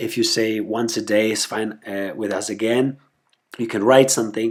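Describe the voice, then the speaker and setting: A man with a non-native accent, medium pitch and fairly even intonation, in a very clean recording with a silent background. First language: not English. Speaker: website founder presenting tutorial. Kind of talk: screencast tutorial. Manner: halting, many fillers and repetitions.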